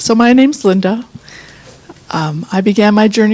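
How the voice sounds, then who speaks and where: Over noticeable background noise, a woman speaks at a medium pitch and a fairly slow pace with ordinary pitch variation. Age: 60s. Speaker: client giving testimonial. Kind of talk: testimony.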